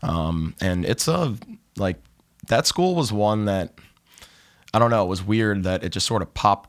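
A man's normal speaking voice, fairly low in pitch, at a fairly quick pace with ordinary pitch variation. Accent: American. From Ohio, Cleveland. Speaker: podcast host, golf tipster. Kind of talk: casual chat.

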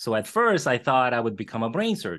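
A man with a plain, everyday voice, medium pitch and fairly quick pace over a quiet background. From born in Korea, moved to Los Angeles around age eleven. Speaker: radiologist and entrepreneur. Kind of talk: interview.

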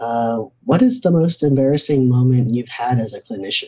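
In an ordinary speaking voice, a man of medium pitch speaks at a moderate pace with ordinary pitch variation. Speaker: podcast host and counselor. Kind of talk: interview.

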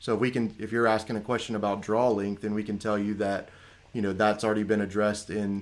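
At a very fast pace, a man talks in a fairly low pitch with monotone, flat intonation. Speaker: archery newcomer and podcast tech helper. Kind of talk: casual chat.

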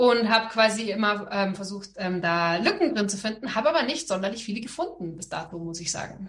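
A woman with an unremarkable speaking voice talks fairly quickly at a medium pitch, with hardly any pauses. Her intonation is lively, and her loudness swings widely. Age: 40s. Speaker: entrepreneur and business coach, former lawyer. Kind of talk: interview.

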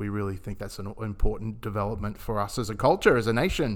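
In an Australian accent, a man speaks at a fairly low pitch with monotone, flat intonation. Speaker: podcast host and club chaplain. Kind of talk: casual interview.

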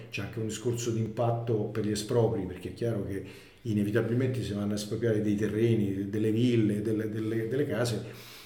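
In a room with audible echo and noticeable background noise, a man talks fairly quickly at a medium pitch with monotone, flat intonation. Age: 60s. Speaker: former finance executive of infrastructure company. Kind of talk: interview. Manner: halting.

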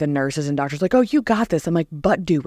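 A woman with an American accent talks at a very fast pace and a fairly low pitch. The sound is dry and close with no echo, on a very clean recording with a silent background. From New Jersey. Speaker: podcast guest sharing faith story. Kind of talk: testimony.

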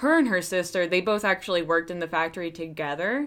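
This woman has a Pennsylvania accent. Her pitch sits in the medium range. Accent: Pennsylvania twang. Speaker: true crime podcast host. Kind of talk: casual storytelling.

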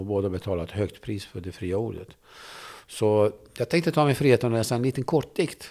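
On a very clean recording with a silent background, a man with a Kurdish accent speaks fairly quickly in a fairly low pitch with ordinary pitch variation. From Turkey (Kurdish). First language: Kurdish (speaking Swedish). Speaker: journalist and debater. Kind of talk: interview conversation. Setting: studio.

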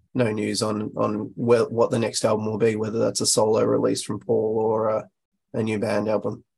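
With an Australian accent, a man of fairly low pitch speaks at a moderate pace in a monotone, flat intonation with vocal fry. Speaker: guest album suggester. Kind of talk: casual chat. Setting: remote call.

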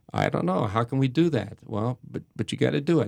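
A man with vocal fry talks at a fairly quick pace. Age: 60s. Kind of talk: casual chat. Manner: halting.

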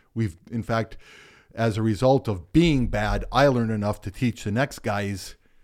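A man with an American accent at a medium pitch and moderate pace, ordinary pitch variation, in a very clean recording with a silent background. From Michigan. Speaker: retired college basketball coach. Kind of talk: casual interview. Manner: halting, repeats words.

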